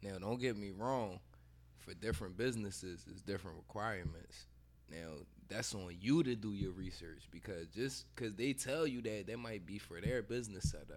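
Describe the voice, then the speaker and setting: With vocal fry and a fairly low pitch, a man's voice moves through very wide pitch swings. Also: moderate pace. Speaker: podcast co-host. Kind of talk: casual chat.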